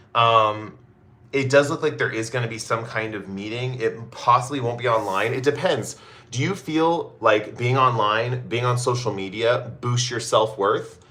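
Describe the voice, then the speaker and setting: Speaking at a moderate pace, a man has a bright, sharp tone, a medium pitch and ordinary pitch variation, with audible room echo around him. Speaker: tarot reader. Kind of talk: live stream reading. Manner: casual, hesitant.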